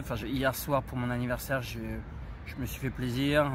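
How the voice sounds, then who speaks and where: A man speaks with audible room echo around him. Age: 30s. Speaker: vlogger. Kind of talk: casual chat. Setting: outdoors. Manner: halting.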